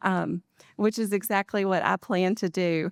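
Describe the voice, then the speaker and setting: Medium-pitched female speech with fairly even intonation, dry and close with no echo, on a very clean recording against a silent background. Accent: North Carolina. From North Carolina, Rowan County. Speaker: political candidate. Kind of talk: candidate forum opening statement.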